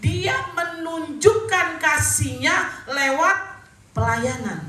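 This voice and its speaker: Raised and projected, a woman's high, bright, sharp voice rings through audible room echo. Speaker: pastor. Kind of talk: sermon. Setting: church.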